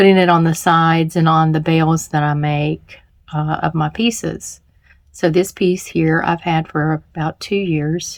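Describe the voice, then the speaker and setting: Speaking at a fairly slow pace, a woman with a slight Southern US accent uses a very deep, low pitch and a flat, monotone delivery. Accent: slight Southern drawl. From US South, Charlotte, North Carolina. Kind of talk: tutorial. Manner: casual, hesitant with fillers.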